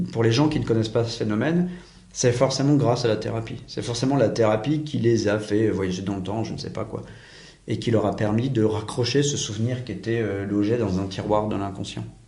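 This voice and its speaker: A man's medium-pitched voice, dark and mellow with vocal fry and ordinary pitch variation, carries audible room echo. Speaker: private investigator and teacher. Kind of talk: interview. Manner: fast; assertive.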